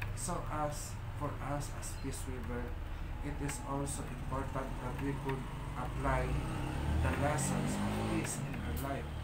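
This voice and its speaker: Through loud background noise, a man with a Filipino accent speaks at a fairly slow pace with long, frequent pauses. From Philippines. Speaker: spiritual leader / priest of a shrine. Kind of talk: livestream ritual and talk. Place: home room. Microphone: phone near.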